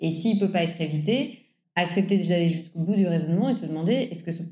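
With audible room echo, a woman speaks at a fairly low pitch in a somewhat breathy, dark, mellow tone with ordinary pitch variation. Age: 30s. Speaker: environmental campaigner. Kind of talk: interview.

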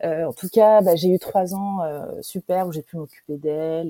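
A woman's dark, mellow voice at a fairly low pitch and fairly slow pace, with a dry, close sound with no echo. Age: 40s. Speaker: digital marketing trainer and coach. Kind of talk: interview testimony. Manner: halting.

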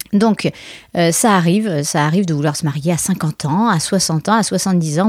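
Recorded very cleanly against a silent background, with a dry, close sound and no echo, a woman of medium pitch speaks in an animated tone with ordinary pitch variation. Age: 40s. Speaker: wedding planner and podcast host. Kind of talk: solo podcast monologue. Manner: animated, laughing often.

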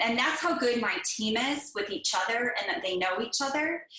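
Over noticeable background noise, a woman with an American accent talks at a moderate pace in a fairly high pitch with lively intonation. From Northern California. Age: 40s. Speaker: HVAC business owner. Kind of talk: interview.

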